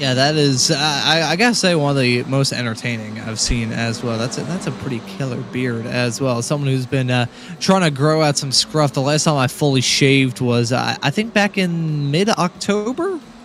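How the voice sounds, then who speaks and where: Music in the background and a man's fairly high-pitched voice with lively intonation at a moderate pace. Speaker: sim racing commentator. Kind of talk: live commentary. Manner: halting.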